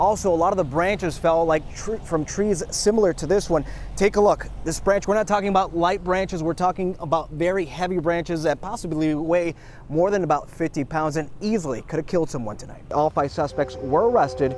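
With light background noise and a dry sound with no echo, a man speaks at a fairly quick pace. His pitch is high, with ordinary variation. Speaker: TV news reporter. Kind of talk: TV news field reporting, live stand-up and packaged story voiceover. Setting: outdoors, live on location.

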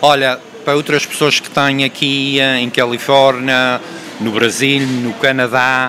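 Speaking very slowly with monotone, flat intonation, a man is heard over light background noise. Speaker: YouTube channel host; show host interviewer. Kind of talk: casual community interview show. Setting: public venue, bakery. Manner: halting, many fillers. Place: shop. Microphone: handheld.

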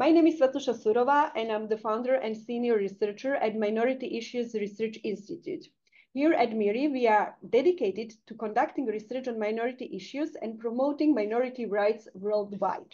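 Woman at a fairly quick pace with hardly any pauses and ordinary pitch variation. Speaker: seminar moderator. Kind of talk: formal introduction. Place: home room. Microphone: webcam.

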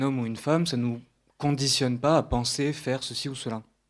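An unremarkable speaking voice from a man, medium in pitch and moderate in pace, on a very clean recording with a silent background. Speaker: audience member. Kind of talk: audience question. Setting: stage with audience.

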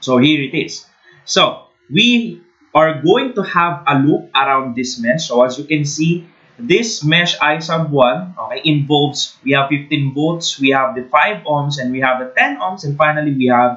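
A man's bright, sharp tone with lively intonation, at a fairly slow pace against a quiet background. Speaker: engineering tutor. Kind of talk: tutorial. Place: home room.

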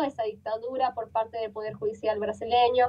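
A woman is speaking. Her intonation is lively. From Brazil. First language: Portuguese (speaking Spanish). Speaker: journalist. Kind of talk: interview. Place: home room. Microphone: video call.

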